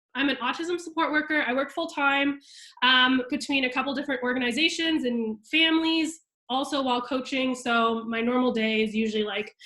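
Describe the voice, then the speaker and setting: This woman speaks in a raised, projected voice at a high pitch, with ordinary pitch variation. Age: 20s. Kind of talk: video call presentation. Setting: video call with screen share. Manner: casual, filler-heavy.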